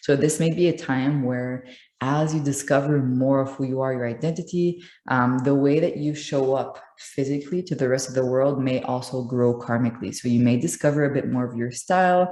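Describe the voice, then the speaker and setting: Speaking at a fairly quick pace in a French accent, a woman has a very deep, low pitch, a dark, mellow tone and ordinary pitch variation. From France. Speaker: astrologer. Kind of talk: astrology tutorial monologue. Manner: many filler ums.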